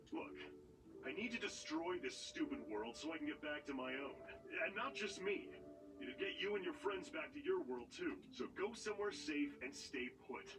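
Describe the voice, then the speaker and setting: A man puts on a gruff character voice, pitched high, at a moderate pace. Clear music plays in the background. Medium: video game. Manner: gruff, swearing.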